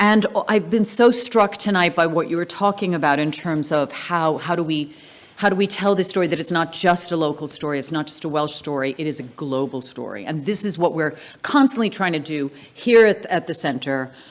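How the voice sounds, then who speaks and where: Speaking at a fairly quick pace with lively intonation, a woman with a normal speaking voice and a fairly low pitch talks in an American accent. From Wales, the Valleys, raised mostly in the US. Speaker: family representative giving vote of thanks. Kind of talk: vote of thanks speech.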